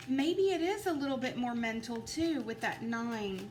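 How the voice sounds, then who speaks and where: Lively intonation marks this woman's high-pitched voice. She keeps a moderate pace amid audible room echo. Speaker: tarot reader. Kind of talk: tarot card reading. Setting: at home at a table. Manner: halting, stuttering a little.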